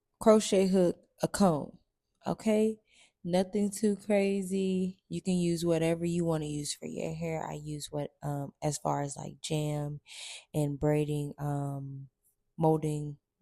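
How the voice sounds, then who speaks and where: A woman's very deep, low voice, dark and mellow in tone, very slow, with ordinary pitch variation, big swings in loudness and a dry, close sound with no echo. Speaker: hair tutorial creator. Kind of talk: casual voiceover over hair tutorial. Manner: casual, chatty, upbeat.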